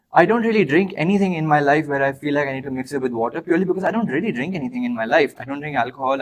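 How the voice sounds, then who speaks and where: In an Indian accent, a man talks at a very fast pace in an animated tone with ordinary pitch variation. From Dubai, of Indian heritage. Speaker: podcast co-host. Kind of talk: playful improvised monologue in a party game.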